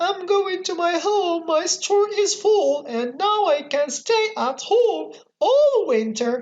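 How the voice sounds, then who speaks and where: In a put-on character voice, a female-sounding voice speaks very slowly, squeaky and extremely high-pitched. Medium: read story. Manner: polite, firm.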